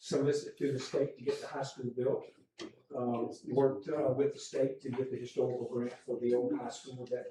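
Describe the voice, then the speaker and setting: With audible room echo, a man in an American accent talks at a moderate pace. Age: 70s. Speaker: retired public official. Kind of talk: public comment at council meeting. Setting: town council meeting. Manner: halting, many fillers.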